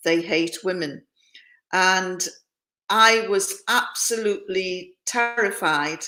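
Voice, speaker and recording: A woman speaks at a medium pitch with a bright, sharp tone. Her pitch varies in an ordinary way. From northeast England, near Scottish borders. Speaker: former journalist and hostage. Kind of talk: interview testimony.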